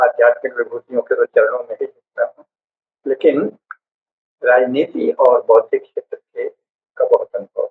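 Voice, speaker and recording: A man talks at an extremely high pitch. His loudness swings widely. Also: fairly even intonation. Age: 80s+. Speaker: professor and political commentator. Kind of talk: lecture. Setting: live stream.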